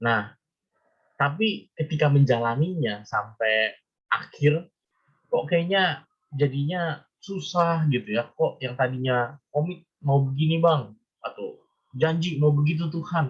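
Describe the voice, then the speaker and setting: Very slowly, the man talks, his pitch varying in an ordinary way. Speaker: preacher. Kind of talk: sermon. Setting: video call. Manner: halting.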